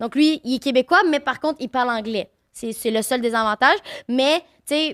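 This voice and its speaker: In a Quebec accent, a woman speaks at a moderate pace with a high pitch, ordinary pitch variation and an animated tone, recorded dry and close with no echo on a very clean track with a silent background. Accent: Quebec French, unchanged. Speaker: streamer and content creator. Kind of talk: casual chat.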